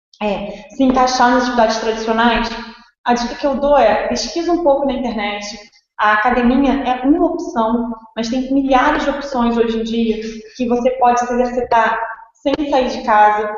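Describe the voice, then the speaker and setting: Audible room echo surrounds a high-pitched woman whose intonation stays fairly even. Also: moderate pace. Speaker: fitness instructor and gym co-founder. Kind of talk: webinar presentation. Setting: live online webinar.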